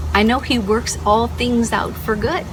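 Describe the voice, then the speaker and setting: A woman is heard with audible room echo. There is noticeable background noise. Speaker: vlogger, corporate contingent workforce specialist. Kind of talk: casual vlog monologue. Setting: at home. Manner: fast.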